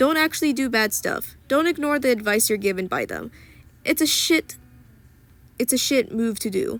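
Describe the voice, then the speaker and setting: Very wide pitch swings from a woman with a high voice, at a moderate pace. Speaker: YouTuber ranting about online community drama. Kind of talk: rant. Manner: stumbling, restarts words.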